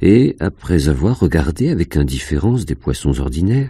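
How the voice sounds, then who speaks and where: Intense and dark, mellow in tone, a man's voice shows vocal fry and very wide pitch swings at a fairly slow pace. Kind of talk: audiobook reading of a first-person fantastic short story. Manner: slow, hushed, dreamy, intense narration.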